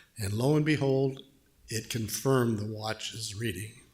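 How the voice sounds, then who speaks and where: A man is heard with audible room echo. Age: 70s. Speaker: lay worship leader. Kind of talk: sermon. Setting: church.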